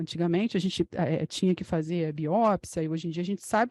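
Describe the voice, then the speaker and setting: Recorded with a dry, close sound with no echo and a quiet background, a woman speaks in a dark, mellow tone. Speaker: physician lecturer. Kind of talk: medical lecture.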